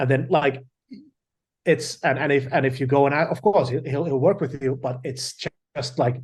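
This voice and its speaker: Fairly high-pitched male speech in a Finnish accent, somewhat breathy, with fairly even intonation, a moderate pace and long, frequent pauses. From Finland. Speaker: film director. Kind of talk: interview. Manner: halting.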